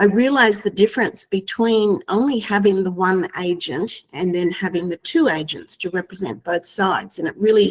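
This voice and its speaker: The woman speaks with an Australian accent, at a medium pitch, a moderate pace, ordinary pitch variation and hardly any pauses. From Australia (Queensland). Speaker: real estate agent. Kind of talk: webinar discussion.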